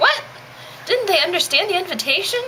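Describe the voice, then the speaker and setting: A put-on character voice, squeaky and extremely high-pitched, moves at a fairly quick pace. Background noise is clearly heard. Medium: comedy sketch.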